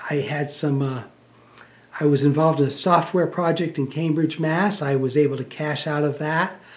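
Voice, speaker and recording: A man's fairly high-pitched voice at a moderate pace, with fairly even intonation. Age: 50s. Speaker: author and former activist. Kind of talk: monologue. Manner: halting.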